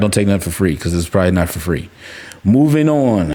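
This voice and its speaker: Mumbling, a man speaks with very wide pitch swings amid noticeable background noise. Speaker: crypto and collectibles YouTuber. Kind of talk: casual commentary. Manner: rambling, halting.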